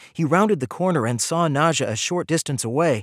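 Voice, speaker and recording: A man's normal speaking voice at a moderate pace, with ordinary pitch variation, a dry, close sound with no echo, and a very clean recording over a silent background. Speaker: audiobook narrator. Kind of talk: audiobook narration.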